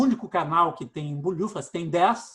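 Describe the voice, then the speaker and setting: A man speaks at a high pitch. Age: 60s. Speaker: radio host. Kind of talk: casual interview.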